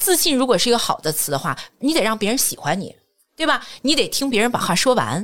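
An animated woman's voice with vocal fry, fairly high in pitch, at a fairly quick pace, in a very clean recording over a silent background. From Jinan, Shandong, China. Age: 40s. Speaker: corporate trainer and lecturer. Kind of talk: casual interview chat.

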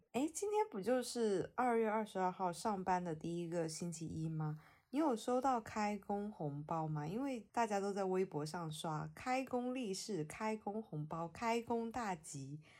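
A woman with a Hunan accent speaks at a fairly slow pace and medium pitch, with lively intonation, hardly any pauses, and a very clean recording with a silent background. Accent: Mandarin with a Hunan tinge. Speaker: podcast host. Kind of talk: casual chat.

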